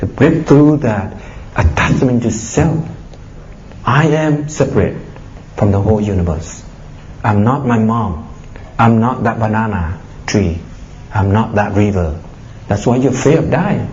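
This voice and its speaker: A man with a medium pitch speaks at a fairly slow pace with long, frequent pauses, his tone animated and intonation lively, over noticeable background noise and audible room echo. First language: Vietnamese. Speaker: Buddhist monk giving a dharma talk. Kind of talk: dharma talk. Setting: public talk to an audience. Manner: animated, exhorting.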